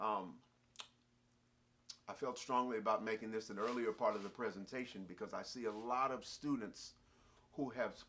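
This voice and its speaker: This man talks at a moderate pace with a medium pitch and fairly even intonation. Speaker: jazz musician and music teacher. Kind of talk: instructional talk. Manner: halting, with frequent fillers.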